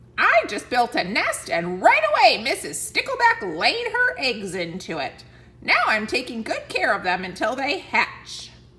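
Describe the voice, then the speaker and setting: The speaker uses a put-on character voice, raised and projected. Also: female-sounding voice, high pitch for a woman, moderate pace. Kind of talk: bedtime story. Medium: read story. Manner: cheerful, proud.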